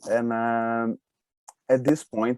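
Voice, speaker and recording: A man with a Brazilian accent speaks at a medium pitch, his tone dark and mellow, in a dry, close sound with no echo. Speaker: speed reading and flow coach. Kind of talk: interview on a live webinar. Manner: halting, with repeated words.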